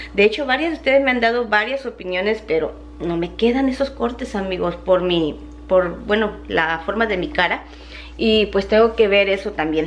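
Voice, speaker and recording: A woman talks at a moderate pace with lively intonation. Light background noise sits behind her. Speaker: vlogger. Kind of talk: casual vlog chat. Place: kitchen. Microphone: phone near.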